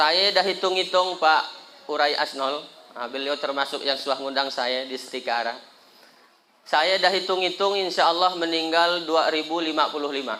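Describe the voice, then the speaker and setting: Room echo is audible as a man speaks at a moderate pace. His pitch is fairly high. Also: ordinary pitch variation. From Indonesia, West Kalimantan (Sambas). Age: 30s. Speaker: Islamic preacher. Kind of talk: sermon at a community gathering. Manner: animated, joking.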